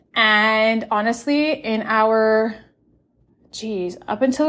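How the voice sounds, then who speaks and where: Very slow speech from a woman, fairly high in pitch and with fairly even intonation. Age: 30s. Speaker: podcast host, single mother. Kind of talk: solo podcast monologue. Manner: casual, frequent fillers and laughs.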